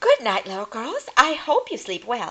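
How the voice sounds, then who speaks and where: A female-sounding put-on character voice has a warm tone. It moves at a moderate pace. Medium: read story. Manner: warm, motherly.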